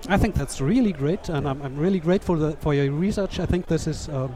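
A man's ordinary speaking voice at a fairly high pitch, with ordinary pitch variation and a fairly quick pace. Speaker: podcast co-host and interviewer. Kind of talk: interview. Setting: live at a conference, noisy hall.

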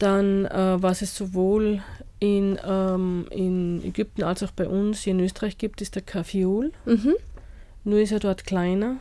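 Her tone dark and mellow, a woman speaks at a very slow pace with a medium pitch and fairly even intonation on a very clean recording with a silent background. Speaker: studio guest, gardening enthusiast. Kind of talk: radio interview. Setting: radio studio.

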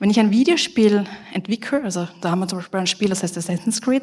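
A woman with a fairly high pitch and ordinary pitch variation speaks fairly quickly as noticeable background noise plays. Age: 30s. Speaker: game development professor. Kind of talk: conference talk.

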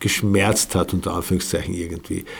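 A man is speaking. His voice has vocal fry. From Austria, Carinthia. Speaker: cultural scientist and philosopher. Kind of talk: interview.

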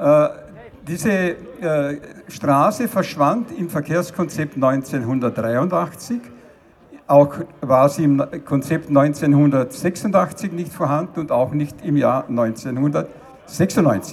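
A man with a fairly high pitch talks at a very slow pace, his intonation lively. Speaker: transport science professor. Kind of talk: rally speech. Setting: outdoor rally with crowd. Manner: formal, lecturing, measured.

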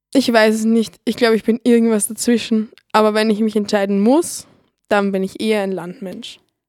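A woman speaks in an ordinary speaking voice at a fairly high pitch, keeping a moderate pace and fairly even intonation. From Lower Austria, Neulengbach. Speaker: radio volunteer. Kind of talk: scripted personal narration.

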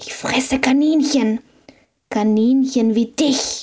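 A woman's high-pitched, put-on character voice at a very slow pace. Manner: hissing, snarling, threatening.

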